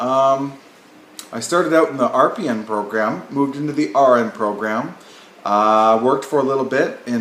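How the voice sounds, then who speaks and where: Speaking with a Canadian accent and ordinary pitch variation, a man is heard through audible room echo and noticeable background noise. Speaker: nursing professor. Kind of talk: lecture. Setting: recorded video at home or office. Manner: fast.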